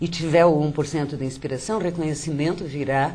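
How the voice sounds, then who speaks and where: A woman speaks with audible room echo. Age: 60s. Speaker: poet and writer. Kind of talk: interview.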